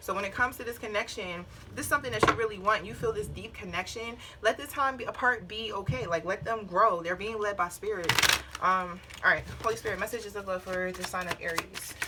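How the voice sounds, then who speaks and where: A woman rattles along at a very fast pace, with noticeable background noise behind her. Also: medium pitch for a woman, ordinary pitch variation. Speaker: tarot reader. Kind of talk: tarot reading. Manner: blunt, casual with cursing.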